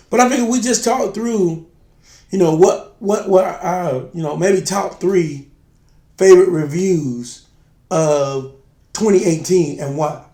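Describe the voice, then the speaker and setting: Speaking at a fairly slow pace, a man uses a high pitch with lively intonation and a dark, mellow tone. Room echo is audible. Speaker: spirits review show co-host. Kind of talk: casual chat. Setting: video shoot.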